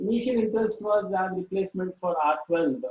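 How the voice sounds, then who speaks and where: Here a man speaks at a fairly quick pace. His pitch is high. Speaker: invited speaker on refrigeration engineering. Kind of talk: technical lecture. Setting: online webinar. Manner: halting, many filler sounds; soft-spoken. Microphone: too quiet.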